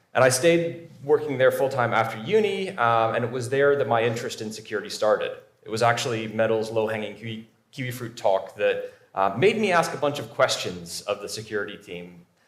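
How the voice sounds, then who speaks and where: Audible room echo surrounds a man speaking at a fairly quick pace with a medium pitch. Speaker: cybersecurity professional, conference speaker. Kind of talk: conference talk. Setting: stage with audience.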